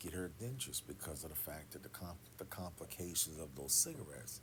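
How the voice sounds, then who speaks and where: A man at a moderate pace with vocal fry and ordinary pitch variation. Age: 50s. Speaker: pastor. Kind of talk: casual monologue. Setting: quiet room. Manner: soft-spoken.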